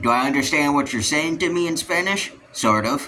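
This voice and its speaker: A man's fairly high-pitched voice with an American accent, over noticeable background noise. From US West, Utah. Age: 18. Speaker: youtuber. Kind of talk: casual rant to camera. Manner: halting, many fillers.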